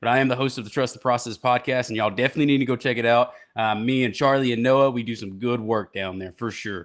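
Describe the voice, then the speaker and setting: In a very clean recording with a silent background, a man with a Southern US accent talks at a very fast pace with hardly any pauses, his medium pitch following fairly even intonation. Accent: southern twang. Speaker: podcast host.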